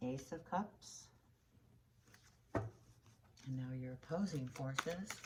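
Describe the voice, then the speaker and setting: A soft-spoken, somewhat breathy woman's voice, very deep and low in pitch, with lively intonation, a very slow pace and long, frequent pauses. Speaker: tarot reader. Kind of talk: tarot reading. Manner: halting.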